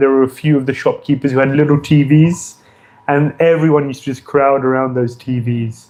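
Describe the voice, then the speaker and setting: A man's fairly high voice with a dark, mellow tone, monotone, flat intonation and a British accent. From England, London. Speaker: visiting spiritual teacher. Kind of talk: religious talk.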